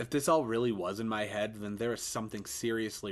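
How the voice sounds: What you hear is a natural reading voice.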